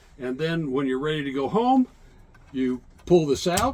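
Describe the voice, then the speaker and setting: Against noticeable background noise, a man speaks at a fairly high pitch with lively intonation. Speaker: museum docent and navy veteran navigator. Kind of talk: guided tour explanation. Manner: loud; halting.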